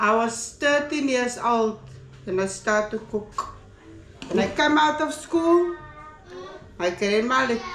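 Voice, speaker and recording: Music plays in the background, with audible room echo. A woman speaks very slowly in a fairly high pitch, with long, frequent pauses. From South Africa, Cape Town (Athlone, Cape Flats). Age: 60s. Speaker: family member. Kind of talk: casual chat. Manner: halting.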